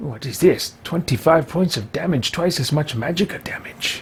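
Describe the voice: A man puts on a character voice at a fairly high pitch and a moderate pace. Vocal fry and a husky, rough edge run through it. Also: lively intonation.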